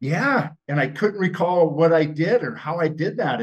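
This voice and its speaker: A man's high-pitched voice with lively intonation, at a moderate pace. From Montana. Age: 60s. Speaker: former TV gladiator and football player. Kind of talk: podcast interview. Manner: casual, halting with repetitions.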